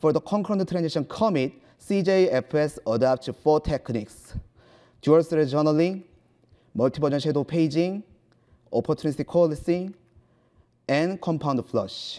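With a Korean accent, a man speaks at a moderate pace in a fairly high pitch with ordinary variation and a dark, mellow tone. He takes long, frequent pauses against a quiet background. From South Korea. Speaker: computer science researcher; presenter. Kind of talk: conference talk. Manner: halting. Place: hall.

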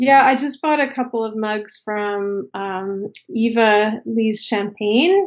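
With a Canadian accent, a woman speaks very slowly at a fairly high pitch with ordinary pitch variation and hardly any pauses, against a quiet background. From Canada, Toronto. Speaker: ceramic artist; podcast guest. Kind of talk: casual chat. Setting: video call. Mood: relaxed, friendly. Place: home room. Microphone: video call.

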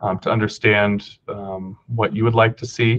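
The voice is somewhat breathy, with fairly even intonation at a moderate pace. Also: man. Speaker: meeting facilitator, government official. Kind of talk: meeting facilitation. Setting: video call. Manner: halting, many fillers. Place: office. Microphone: webcam.

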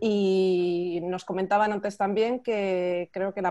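A woman's voice, dry with no echo, over a quiet background. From Spain (Madrid). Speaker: art magazine section editor, interviewer; interviewer. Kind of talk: casual interview. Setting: video call. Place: home room. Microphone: video call.

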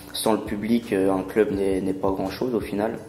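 At a fairly slow pace, a man with a fairly low pitch talks in a monotone, flat intonation. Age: 20s. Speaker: sports club business developer. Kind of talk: interview.

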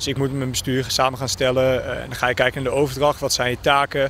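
A man talks at a very fast pace with a fairly high pitch. The sound is dry with no echo, over light background noise. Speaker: student rower. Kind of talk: interview. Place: waterside. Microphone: handheld.

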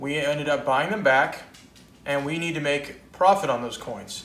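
In a room with audible echo, a man with a fairly high voice speaks at a fairly slow pace with ordinary pitch variation. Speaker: coin dealer. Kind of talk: video blog about coin collecting. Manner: casual, conversational. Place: home room. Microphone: camera far.

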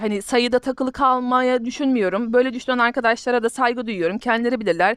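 A woman with a high pitch is heard in a very clean, dry, close recording with a silent background and no echo. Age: 30s. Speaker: gaming YouTuber. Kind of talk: gameplay commentary. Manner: halting.

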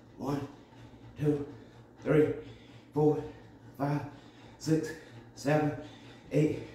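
Amid light background noise and audible room echo, a man with fairly high pitch speaks in a flat monotone at a very slow pace with long, frequent pauses. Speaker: fitness instructor. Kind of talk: rhythmic rep counting. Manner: brisk, punchy, steady count. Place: gym. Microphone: phone near.

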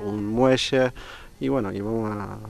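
A moderate pace and fairly even intonation, with a Polish accent. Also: man. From Poland. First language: Polish (speaking Spanish). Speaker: sailing club vice president and boatbuilder. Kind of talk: interview at an inauguration event.

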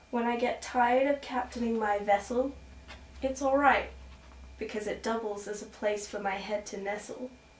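Over light background noise and audible room echo, a woman with a fairly high pitch speaks at a moderate pace with fairly even intonation. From Australia. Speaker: children's book author and illustrator; storyteller. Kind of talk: reading aloud. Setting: at home. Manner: soft-spoken. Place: home room. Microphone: camera far.

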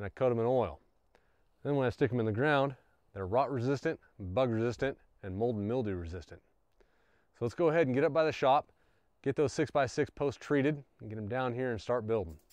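Delivered at a fairly quick pace with ordinary pitch variation, the voice has a dry sound with no echo against a quiet background. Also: man. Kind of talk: casual tutorial. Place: open country.

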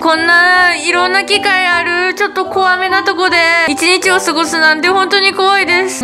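A woman speaks in a raised, projected voice. Clear music plays in the background. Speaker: vlogger. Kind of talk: casual vlog chat. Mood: complaining of pain, playful. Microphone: phone near.

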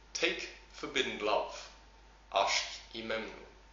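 A man speaks amid audible room echo and light background noise. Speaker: English teacher. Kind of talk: reading aloud. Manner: slow. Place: home room.

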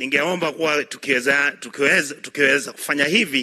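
Moderate pace from a male speaker, quiet background behind him. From Kenya. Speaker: senator. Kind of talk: parliamentary speech. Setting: senate chamber. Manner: halting, with repeated words. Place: hall. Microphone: podium.

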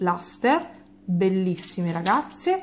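The pace of this woman's speech is very slow. She talks at a medium pitch. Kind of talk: product review chat. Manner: casual, with frequent hesitations.

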